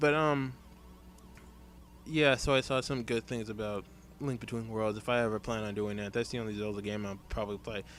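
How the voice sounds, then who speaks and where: This man has a fairly low pitch and talks at a fairly quick pace. Long, frequent pauses break up his speech. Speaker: let's play gamer. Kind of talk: gameplay commentary. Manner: fast; halting.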